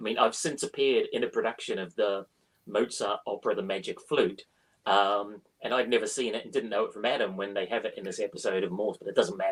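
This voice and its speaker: A man with a slight New Zealand accent, speaking at a very fast pace. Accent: slightly well-travelled New Zealand. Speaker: crime author and screenwriter. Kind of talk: interview. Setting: live online interview. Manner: animated.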